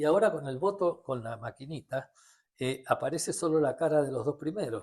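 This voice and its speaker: A man's somewhat breathy voice, fairly high in pitch, with lively intonation and a Rioplatense accent. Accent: Argentine Rioplatense Spanish. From Argentina. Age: 70s. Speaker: economist. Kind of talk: interview. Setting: at his home.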